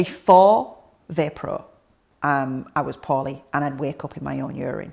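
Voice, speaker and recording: A woman speaks at a moderate pace in a very deep, low pitch with vocal fry and ordinary pitch variation. Her loudness swings widely. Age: 30s. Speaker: patient sharing experience. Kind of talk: testimony.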